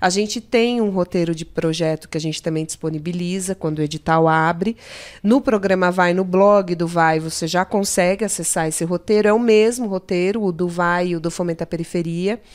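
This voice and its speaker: A plain, everyday voice moves at a moderate pace with hardly any pauses. The pitch shows ordinary variation. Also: woman, fairly low pitch for a woman. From São Paulo state interior (Limeira). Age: 30s. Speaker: public cultural program coordinator. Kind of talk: casual chat.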